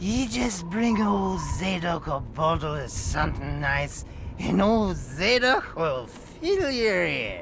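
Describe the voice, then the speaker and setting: A man's put-on character voice, high-pitched and fairly slow, over clear background noise. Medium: video game. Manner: rambling, wheezy and conspiratorial.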